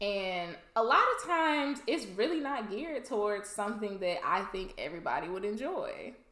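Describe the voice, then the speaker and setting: Amid noticeable background noise, a woman with a fairly high voice talks at a moderate pace with very wide pitch swings. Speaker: podcast co-host. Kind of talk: casual chat.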